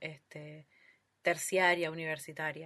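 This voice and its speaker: A woman speaks at a moderate pace in a bright, sharp tone. The background is quiet. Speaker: podcast host. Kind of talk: casual interview.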